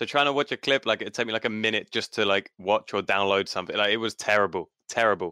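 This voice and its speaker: The voice races along at a very fast pace with hardly any pauses, its bright, sharp tone and fairly even intonation caught in a dry, close sound with no echo. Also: man, fairly low pitch for a man. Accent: southern English. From south-east England (Kent), Italian family. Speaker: gaming clan leader. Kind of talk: casual chat. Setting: at home, live online podcast.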